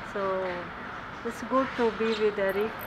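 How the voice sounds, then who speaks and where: There is loud noise in the background. A woman talks at a fairly slow pace over it. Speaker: host mom teaching cooking. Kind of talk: casual cooking demonstration. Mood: warm, friendly. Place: garden.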